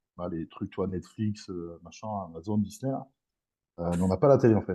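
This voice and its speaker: A man's very deep, low voice moves at a moderate pace with ordinary pitch variation and big swings in loudness. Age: 30s. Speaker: strongman athlete. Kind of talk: podcast interview. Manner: casual, hesitant with many fillers.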